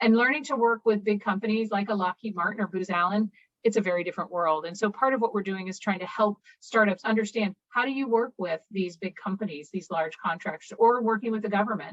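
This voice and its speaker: In a dry, close recording with no echo, a woman talks very fast. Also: medium pitch for a woman, ordinary pitch variation. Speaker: university innovation officer and entrepreneur. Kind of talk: presentation.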